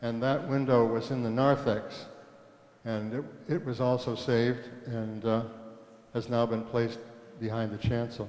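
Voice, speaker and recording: With audible room echo and noticeable background noise, a man at medium pitch speaks in a monotone, flat way at a moderate pace, leaving long, frequent pauses. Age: 80s+. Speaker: church member remembering history. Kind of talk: recorded reminiscence. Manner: halting.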